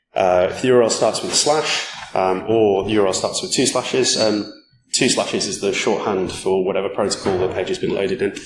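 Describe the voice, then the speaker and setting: Amid audible room echo, a man talks at a very fast pace. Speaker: security conference speaker. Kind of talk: conference talk.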